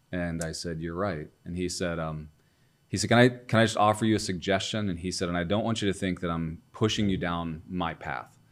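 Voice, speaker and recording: In a very clean recording with a silent background, a man with an American accent speaks at a fairly quick pace. His pitch is very deep and low, with ordinary pitch variation. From US Midwest, Ohio. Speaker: entrepreneur and CEO. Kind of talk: interview testimony.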